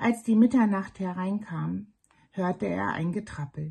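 A woman with a medium pitch speaks at a fairly slow pace in a calm, soothing, dark and mellow tone that is somewhat breathy. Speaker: storyteller reading fairy tales aloud. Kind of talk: bedtime story reading, fairy tale narration. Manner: calm, slow, soothing storyteller's cadence.

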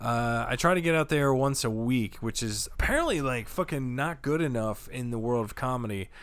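A man speaks at a medium pitch and moderate pace with ordinary pitch variation and hardly any pauses. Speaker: comedian. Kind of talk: casual chat. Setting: studio.

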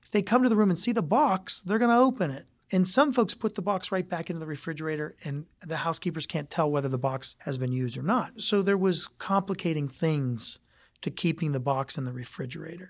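A man with an American accent and a high voice talks at a fairly quick pace with big swings in loudness, on a very clean recording with a silent background. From Ohio, US (Youngstown). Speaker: hotel company president. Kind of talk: interview.

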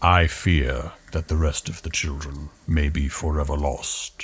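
The speaker uses a put-on character voice with monotone, flat intonation. The pace is fairly slow. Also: man, very deep, low pitch for a man. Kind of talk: mock-heroic archaic speech. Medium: actual play. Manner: pompous, formal, declamatory.

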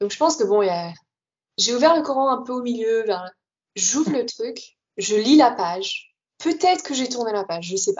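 A woman speaks in a high pitch with very wide pitch swings. Her pace is moderate, broken by long, frequent pauses. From Paris region, France. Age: 20s. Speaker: former Sufi, podcast guest. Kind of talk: interview testimony.

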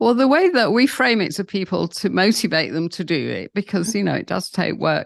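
A woman with a southern English accent speaks at medium pitch with vocal fry and lively intonation, at a fairly quick pace with hardly any pauses. The sound is dry and close with no echo, and the background is quiet. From England. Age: 70s. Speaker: founder of a sobriety community. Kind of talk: interview storytelling.

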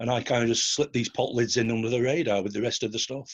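Pitched at a medium level, a man speaks with a Lancashire accent. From northern England, Bolton. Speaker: art forger. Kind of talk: interview.

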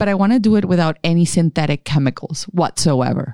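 With a Spanish accent, a woman speaks at a moderate pace in a very deep, low voice, the sound dry and close with no echo and the background quiet. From Colombia, Caribbean coast (Barranquilla). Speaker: skincare company founder. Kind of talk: interview.

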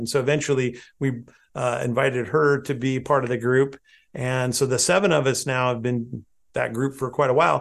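In a West Coast US accent, a man speaks at a moderate pace with medium pitch and fairly even intonation against a quiet background. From southern Oregon, US. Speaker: landscape photographer and photo educator. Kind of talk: interview conversation.

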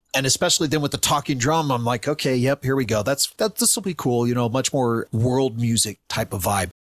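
Here a man with an unremarkable speaking voice talks at medium pitch with ordinary pitch variation and very even loudness. His pace is fairly quick with hardly any pauses, and the sound is dry and close with no echo. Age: 50s. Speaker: podcast co-host, guest. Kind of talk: casual chat.

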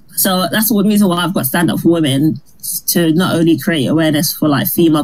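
A woman talks at a very fast pace. There is noticeable background noise behind her. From Barbados. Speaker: stand-up comedian. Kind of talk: casual interview.

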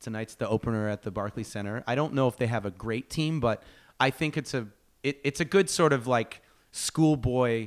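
On a very clean recording with a silent background and a dry, close sound with no echo, a man with a plain, everyday voice speaks at a moderate pace with ordinary pitch variation. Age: 40s. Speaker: filmmaker and actor. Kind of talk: casual chat. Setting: studio.

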